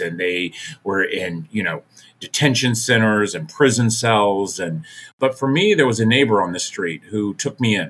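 With an American accent, a man speaks in a normal speaking voice at fairly low pitch, a moderate pace, and ordinary pitch variation. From US Mid-Atlantic (Maryland, Virginia, DC). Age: 50s. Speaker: nonprofit founder and foster care advocate. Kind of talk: interview storytelling. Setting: video call.

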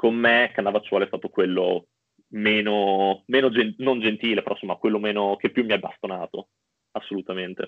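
A plain, everyday voice at a moderate pace, with fairly even intonation. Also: man, fairly low pitch for a man. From Bologna, Emilia-Romagna, Italy. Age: 20s. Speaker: cooking show contestant and student. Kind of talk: casual interview chat.

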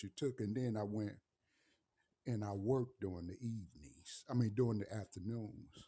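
A man's somewhat breathy voice, dark and mellow in tone, fairly low in pitch, at a moderate pace. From St. Louis, Missouri. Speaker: navy veteran. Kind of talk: casual interview. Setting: studio. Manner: halting, many fillers.

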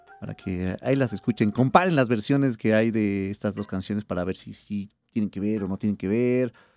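Fairly quick with hardly any pauses, a man speaks in a fairly low pitch with ordinary pitch variation, a normal speaking voice. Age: 30s. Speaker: radio host. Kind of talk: radio show.

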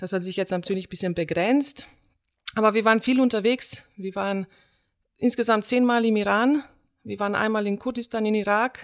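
With a Slovenian accent, a woman speaks at a moderate pace and a fairly high pitch. Her pitch varies in an ordinary way, and she takes long, frequent pauses. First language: Slovenian (speaking German). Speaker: theatre director and drama teacher. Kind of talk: casual chat.

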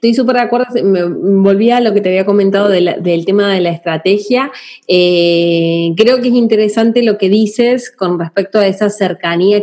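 An ordinary speaking voice keeps a moderate pace with ordinary pitch variation and hardly any pauses. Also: woman. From Argentina. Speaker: podcast host, marketing consultant. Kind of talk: casual interview.

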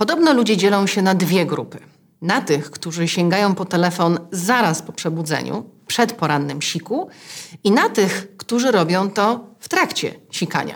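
This woman has an ordinary speaking voice at medium pitch, talking at a moderate pace with lively intonation. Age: 40s. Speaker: podcast host. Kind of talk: scripted narration; interview. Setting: in person.

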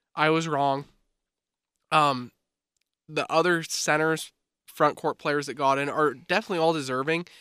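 With a bright, sharp tone and fairly high pitch, a man speaks in fairly even intonation, leaving long, frequent pauses, on a very clean recording with a silent background. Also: moderate pace. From Canada. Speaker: sports podcast co-host. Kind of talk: casual banter.

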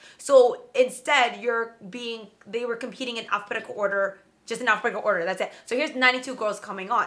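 A woman with an ordinary speaking voice, fairly high in pitch, at a fairly quick pace with fairly even intonation. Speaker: pageant veteran. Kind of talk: casual chat.

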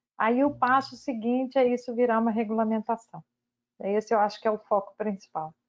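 Her voice is an unremarkable speaking voice, fairly high in pitch, with fairly even intonation at a moderate pace. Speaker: battery researcher, chemist. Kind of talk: casual panel discussion.

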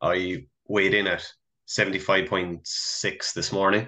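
A man with a Cork accent speaks in a fairly low pitch. His tone is bright and sharp over a quiet background. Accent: Irish (Cork). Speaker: podcast co-host. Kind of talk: casual chat.

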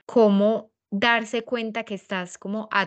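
A woman talks at a fairly slow pace with an Antioquian accent. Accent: Colombian paisa Spanish. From Colombia, paisa region. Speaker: podcast host. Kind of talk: casual interview.

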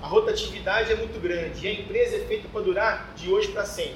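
A man talks at a fairly quick pace. Audible room echo and noticeable background noise surround his voice. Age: 40s. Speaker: construction company CEO. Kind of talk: talk to an audience.

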